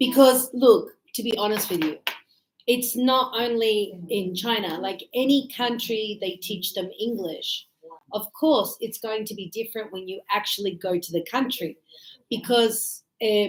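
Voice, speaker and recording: A fairly slow, fairly high woman's voice with an Australian accent, ordinary pitch variation, and big swings in loudness. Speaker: English teacher. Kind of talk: classroom teaching and casual chat with students. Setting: classroom.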